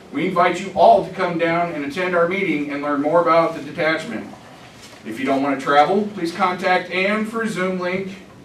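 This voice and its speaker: Noticeable background noise and audible room echo surround a fairly quick speaker with an American accent and ordinary pitch variation. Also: man. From US South. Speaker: veterans' organization officer. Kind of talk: business report at a conference.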